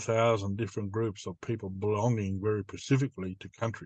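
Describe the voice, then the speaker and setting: Dry, close sound with no echo carries a man's medium-pitched voice. He has an Australian accent and talks at a fairly quick pace. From northwestern New South Wales, Australia. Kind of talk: interview answer.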